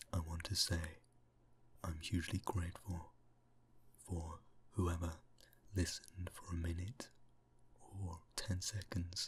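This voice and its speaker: Soft-spoken and somewhat breathy, the voice moves at a fairly slow pace with monotone, flat intonation. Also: man. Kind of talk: ASMR reading.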